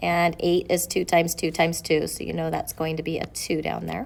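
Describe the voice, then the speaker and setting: Her pitch fairly low, a woman speaks at a moderate pace in a monotone, flat delivery with vocal fry. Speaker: math teacher. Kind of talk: tutorial. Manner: casual.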